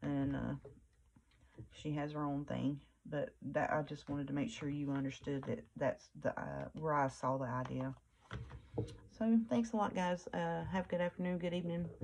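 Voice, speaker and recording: A woman speaks softly at a moderate pace. Her words come out mumbled. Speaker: crafting YouTuber. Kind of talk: crafting tutorial chat. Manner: mumbling; soft-spoken.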